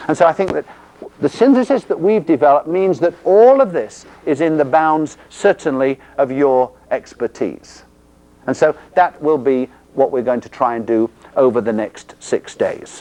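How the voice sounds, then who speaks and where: With an English accent, a man speaks at a moderate pace in a fairly high pitch, using lively intonation and a dark, mellow tone in a dry, close sound with no echo. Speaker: physical therapy instructor. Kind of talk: lecture.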